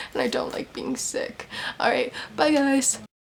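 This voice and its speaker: A woman speaks with lively intonation amid noticeable background noise. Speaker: book vlogger. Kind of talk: casual vlog talk. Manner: casual, hesitant.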